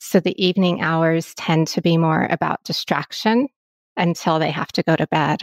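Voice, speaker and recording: Delivered at a moderate pace with ordinary pitch variation, the voice sounds dry and close with no echo. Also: woman, fairly low pitch for a woman. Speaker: wellness and yoga coach. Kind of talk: interview. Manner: soothing.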